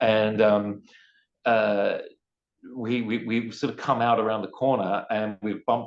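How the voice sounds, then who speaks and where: A man with an Australian accent, fairly low in pitch, with monotone, flat intonation over a quiet background. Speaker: poet, singer-songwriter and teacher. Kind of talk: interview answer.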